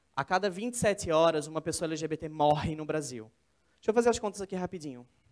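A man speaks at a moderate pace with lively intonation. His pitch sits fairly high. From São Paulo state interior, Brazil. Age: 20s. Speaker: speaker, student and documentary maker. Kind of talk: TEDx talk. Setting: stage with audience.

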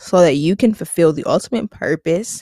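A woman speaks in an animated tone at a moderate pace, her pitch fairly low with ordinary variation. The sound is dry and close, with no echo. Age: 20s. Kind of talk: faith-based solo podcast talk.

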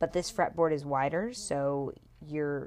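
A woman with a raspy, very deep, low-pitched voice speaks in an enthusiastic tone at a moderate pace with ordinary pitch variation. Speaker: podcaster. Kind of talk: casual solo podcast monologue. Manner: chatty, enthusiastic.

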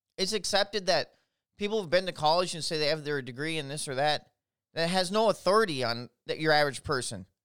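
An animated, very fast voice with lively intonation in an Upper Midwest US accent, in a very clean recording with a silent background. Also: man, fairly high pitch for a man. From Minnesota, Twin Cities. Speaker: political podcaster. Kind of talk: solo political commentary monologue.

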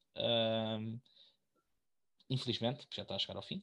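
In a European Portuguese accent, a man of medium pitch speaks at a fairly slow pace. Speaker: podcast co-host. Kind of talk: casual chat.

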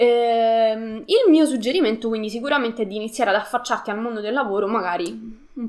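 Over noticeable background noise, a woman talks at a fairly quick pace with fairly high pitch and ordinary pitch variation. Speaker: live streamer. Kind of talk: live stream talk to viewers. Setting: online live stream. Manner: fast, multitasking, informal.

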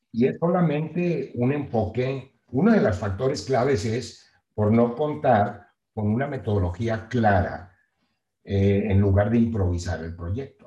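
Somewhat breathy with a dark, mellow tone, a man talks at a fairly slow pace. His intonation is lively. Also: medium pitch for a man. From Mexico, Nueva Rosita, Coahuila. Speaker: real estate project management company founder. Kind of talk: interview.

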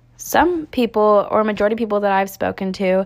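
A woman with an American accent talks at a fairly quick pace. Her medium pitch shows ordinary variation. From Northern California. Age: young. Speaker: college student podcaster. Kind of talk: scripted narration.

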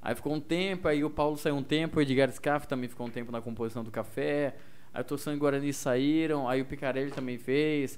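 A man with a fairly high voice keeps his intonation fairly even while talking at a fairly quick pace. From Mato Grosso do Sul, near Corumbá (Ladário). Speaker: radio host and stand-up comedian. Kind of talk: casual chat.

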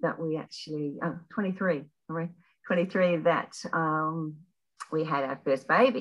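A woman speaks with an Australian accent. Her pitch is fairly low, with ordinary pitch variation. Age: 60s. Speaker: retired health worker. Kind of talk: casual interview. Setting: podcast interview.

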